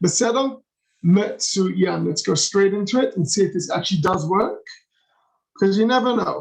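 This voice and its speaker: The speaker has an English accent and an animated tone. Pitch varies in an ordinary way. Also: man. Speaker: tour guide. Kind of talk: virtual tour. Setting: video call. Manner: fast.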